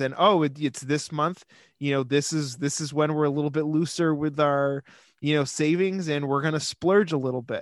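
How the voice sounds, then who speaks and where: Against a quiet background, a man with an American accent talks at a moderate pace and fairly high pitch in an ordinary speaking voice. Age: 30s. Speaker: podcast co-host. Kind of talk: casual chat.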